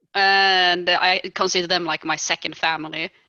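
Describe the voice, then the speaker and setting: A woman with a Swedish accent speaks at a fairly slow pace in a fairly low pitch. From Sweden. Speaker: podcast host. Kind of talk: casual chat.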